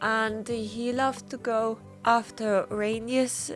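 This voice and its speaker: A woman's voice over music in the background. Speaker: watercolor painter. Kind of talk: casual talk while painting. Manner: hesitant, with fillers.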